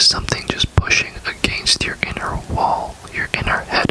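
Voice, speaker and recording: A moderately paced whisper amid noticeable background noise. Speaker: ASMR creator. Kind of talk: casual talk to camera, personal ramble. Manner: soft-spoken, rambling, hesitant.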